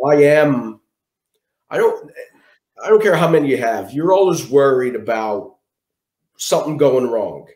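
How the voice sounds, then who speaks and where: A man with a Philadelphia accent talks at a moderate pace in a fairly high pitch, his intonation lively and broken by long, frequent pauses. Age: 40s. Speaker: guest sharing survival story. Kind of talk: interview.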